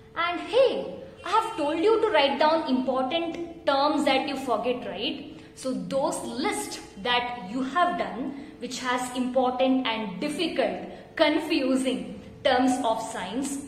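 A woman's high voice at a very slow pace, with audible room echo and light background noise. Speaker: teacher. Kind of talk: tutorial. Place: home room. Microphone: phone near.

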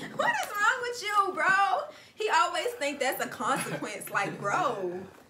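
A woman uses a raised, projected voice at a fairly slow pace over noticeable background noise. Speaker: vlogger co-host. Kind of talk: casual vlog chat. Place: home room. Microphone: camera far.

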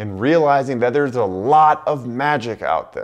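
A man at a moderate pace with lively intonation. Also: quiet background. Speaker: travel vlogger. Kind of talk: casual vlog intro to camera. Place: office. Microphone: lapel.

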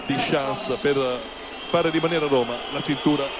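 Loud background noise surrounds a man whose voice sounds dry with no echo. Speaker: ring announcer / boxing commentator. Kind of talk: live sports commentary.

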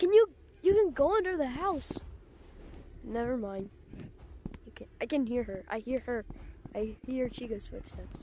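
A woman with a high voice speaks at a moderate pace with long, frequent pauses. There is light background noise, and the sound is dry with no echo. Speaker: gamer. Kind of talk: gameplay commentary. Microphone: headset.

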